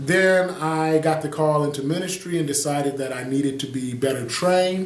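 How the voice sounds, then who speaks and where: A man with an American accent and a fairly high pitch talks at a moderate pace with hardly any pauses and ordinary pitch variation, amid noticeable background noise and audible room echo. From US Midwest, Detroit, Michigan. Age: 40s. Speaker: pastor and video blogger. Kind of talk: casual video monologue.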